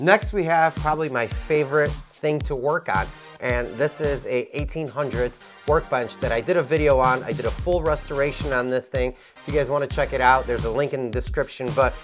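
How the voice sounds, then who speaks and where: The man talks fairly quickly while clear music plays behind him. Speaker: woodworking channel host. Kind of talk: casual shop tour commentary. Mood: upbeat, joking.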